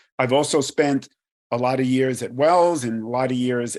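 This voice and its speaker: A man with a New York accent speaks at a moderate pace. His intonation is fairly even, and the recording is very clean with a silent background. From New York, Brooklyn. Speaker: credit risk executive. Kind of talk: podcast interview.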